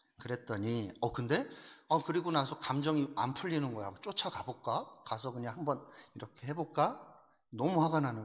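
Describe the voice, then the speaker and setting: Here a man with a fairly high voice talks at a fairly quick pace with lively intonation. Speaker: pastor. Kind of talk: sermon. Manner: rough, forceful; animated.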